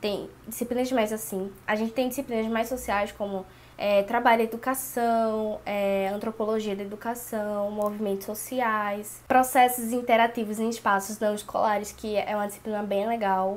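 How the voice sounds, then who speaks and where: Her intonation is monotone and flat. The woman talks at a moderate pace in a fairly high pitch. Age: 20s. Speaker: pedagogy student. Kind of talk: casual talk to camera.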